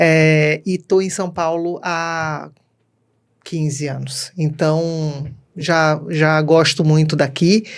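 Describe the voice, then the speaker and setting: A woman with a northeastern Brazilian accent speaks very slowly in a very deep, low voice. Her intonation is monotone and flat on a very clean recording with a silent background. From Brazilian Northeast, Recife. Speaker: customer experience speaker and co-author. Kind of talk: podcast interview. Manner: talkative.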